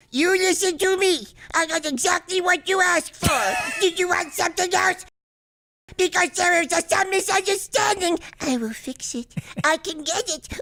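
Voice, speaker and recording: Using a cartoonish character voice, a man talks at a moderate pace in an extremely high pitch. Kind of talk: comic parody dub.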